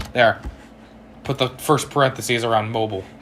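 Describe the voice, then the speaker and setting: A man speaks at a medium pitch with fairly even intonation over noticeable background noise. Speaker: gaming livestreamer. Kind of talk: live gaming stream reading chat. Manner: fast, slurring words.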